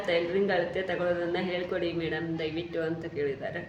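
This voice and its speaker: With a North Karnataka accent, a woman speaks at a fairly low pitch. Audible room echo and noticeable background noise fill the recording. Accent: north Karnataka Kannada. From Haveri district, northern Karnataka. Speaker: vlogger and tailor. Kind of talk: casual talk to camera, reading viewer comments.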